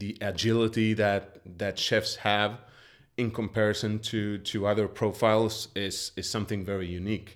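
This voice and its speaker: Over a very clean recording with a silent background, a man with a Swedish accent speaks at a moderate pace. His pitch is fairly low and his intonation monotone and flat. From Sweden. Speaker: chef and culinary researcher. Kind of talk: interview.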